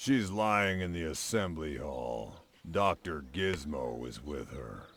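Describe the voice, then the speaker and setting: A put-on character voice at a fairly slow pace. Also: man, very deep, low pitch for a man. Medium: video game. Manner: dry, sarcastic.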